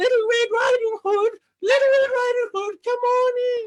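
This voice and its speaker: A woman uses a put-on character voice, squeaky and extremely high in pitch. She keeps a moderate pace with monotone, flat intonation. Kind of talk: comic improv acting. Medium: stage play.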